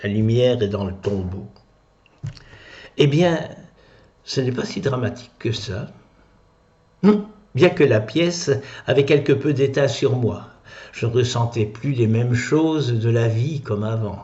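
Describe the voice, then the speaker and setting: Somewhat breathy and theatrical in tone, a man speaks at a very slow pace with long, frequent pauses. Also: medium pitch for a man, lively intonation. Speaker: stage actor and former opera singer. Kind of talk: one-man show storytelling. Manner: theatrical, humorous.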